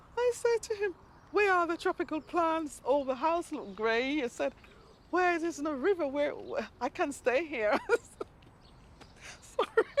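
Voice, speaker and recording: Speaking at a fairly slow pace with long, frequent pauses, a woman uses an extremely high pitch that moves in very wide swings. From Jamaica. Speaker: amateur gardener. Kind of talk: documentary interview.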